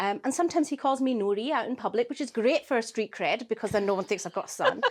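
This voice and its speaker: A woman talks at a very fast pace. Her fairly high voice has lively intonation. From Scotland, Glasgow. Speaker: charity founder. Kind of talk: interview.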